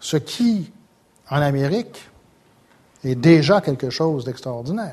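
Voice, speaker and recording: The man speaks at a very slow pace. His pitch swings very widely. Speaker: sociology professor. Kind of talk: lecture. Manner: halting.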